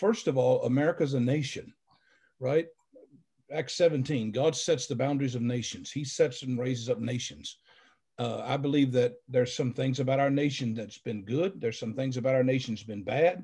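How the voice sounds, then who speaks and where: A man talks at a moderate pace with a dark, mellow tone and ordinary pitch variation. His voice is somewhat breathy, and the background is quiet. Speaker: pastor guest on panel. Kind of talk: panel commentary, sermon-like. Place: home room. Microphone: video call.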